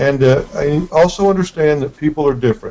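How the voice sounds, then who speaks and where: A man talks with a Texan accent. His fairly high pitch stays on fairly even intonation. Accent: slow Texan. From West Texas. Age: 50s. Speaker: real estate investing coach. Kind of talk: online coaching webinar.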